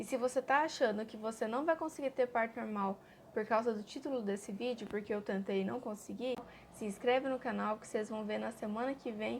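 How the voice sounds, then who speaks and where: A woman's fairly high, fairly quick delivery shows ordinary pitch variation in an unremarkable speaking voice. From Brazil, Cuiabá, Mato Grosso. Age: 20s. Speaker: mother vlogger. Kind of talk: personal testimony vlog.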